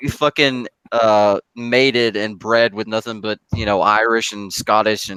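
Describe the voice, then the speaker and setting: A man with a Southern US accent speaks at a fairly slow pace and a fairly low pitch, in a bright, sharp tone. His loudness swings widely, and the sound is dry and close with no echo. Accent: Southern American. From US South, Knoxville, Tennessee. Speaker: gamer in online hangout. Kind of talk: casual chat. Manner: animated.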